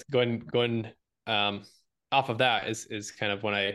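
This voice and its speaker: Here a man talks at a moderate pace with fairly even intonation. He has an unremarkable speaking voice, and the background is quiet. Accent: American. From Michigan. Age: 20s. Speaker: real estate investor. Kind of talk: interview.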